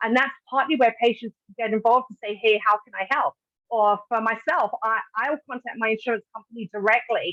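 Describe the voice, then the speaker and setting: With a British accent, a woman speaks at a fairly high pitch in a bright, sharp tone. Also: dry, close sound with no echo. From Britain. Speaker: patient advocate. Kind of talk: webinar presentation. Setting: online webinar.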